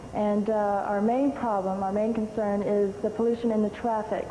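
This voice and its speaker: With audible room echo, a woman talks at a moderate pace, her fairly high pitch held in fairly even intonation. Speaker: beauty pageant contestant. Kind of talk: interview.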